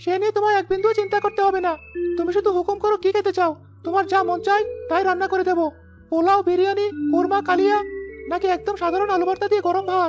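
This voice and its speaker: A cartoonish character voice at an extremely high pitch, monotone and flat, with clear music in the background. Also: fairly quick pace. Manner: dignified, warm.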